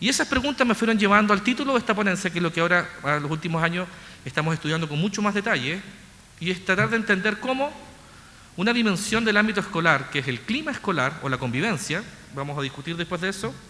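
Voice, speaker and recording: A man with a Chilean accent talks at a very fast pace in a raised, projected voice. His pitch is high, and his intonation is lively. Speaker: researcher. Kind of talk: lecture. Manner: mumbling.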